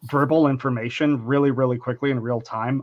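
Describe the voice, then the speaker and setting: This man has an unremarkable speaking voice at a medium pitch. His intonation stays fairly even. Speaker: engineering leader. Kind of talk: webinar panel discussion.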